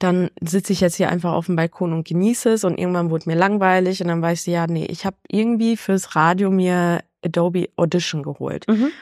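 The recording is very clean, with a silent background and a dry, close sound without echo. A woman with a normal speaking voice and a fairly low pitch talks at a fairly quick pace with fairly even intonation. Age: 20s. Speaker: freelance journalist and DJ. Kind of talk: casual interview.

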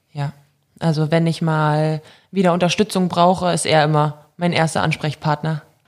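At a moderate pace, a woman with a very deep, low pitch talks in a monotone, flat intonation, recorded very cleanly against a silent background. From Germany (born in Belarus, moved as child). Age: 20s. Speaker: professional handball player. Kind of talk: casual interview. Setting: on location at her studio.

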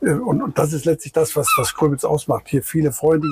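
A man's fairly high voice holds fairly even intonation amid noticeable background noise. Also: dry, close sound with no echo. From Rhineland, Germany. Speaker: beach tourist train driver. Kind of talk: casual interview. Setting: outdoors, in the tourist train.

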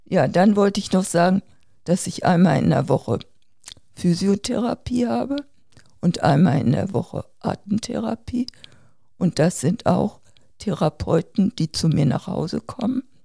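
A woman speaks at a fairly low pitch in a dark, mellow tone with vocal fry and very wide pitch swings, leaving long, frequent pauses. The sound is dry and close, with no echo. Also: fairly slow pace. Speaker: seriously ill COPD patient, podcast co-host. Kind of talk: casual family conversation.

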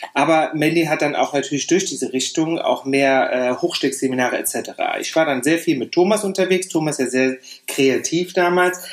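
This man has an unremarkable speaking voice, a fairly high pitch with ordinary pitch variation, and a moderate pace. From Saarland, Germany. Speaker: hairdresser and educator. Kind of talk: interview.

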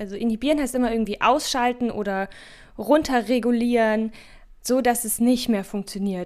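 Fairly quick, fairly high-pitched female speech with ordinary pitch variation. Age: 20s. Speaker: doctoral researcher in pharmacy. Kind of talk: podcast interview.

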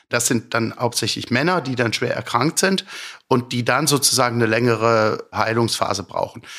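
On a very clean recording with a silent background, a man with a bright, sharp tone speaks at a moderate pace, his medium pitch showing ordinary variation. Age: 50s. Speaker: sleep medicine physician. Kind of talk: interview. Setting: his practice.

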